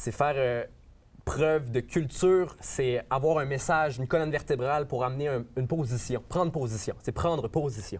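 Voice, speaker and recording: This man's voice sits fairly high in pitch, with ordinary pitch variation. He talks at a moderate pace. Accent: Quebec. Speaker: rapper. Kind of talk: interview. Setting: studio. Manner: hesitant, many fillers.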